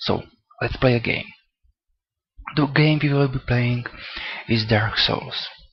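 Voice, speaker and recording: With a non-native accent, a man speaks fairly slowly at medium pitch, his intonation fairly even and his speech broken by long, frequent pauses. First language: not English. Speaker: gaming let's play commentator. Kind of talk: gameplay commentary. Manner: halting, stuttering.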